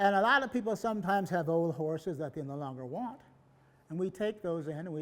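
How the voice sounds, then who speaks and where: This man has a high pitch. His intonation is lively. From US West. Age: 80s+. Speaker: historical reenactment group founder. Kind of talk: public presentation. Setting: museum event with audience.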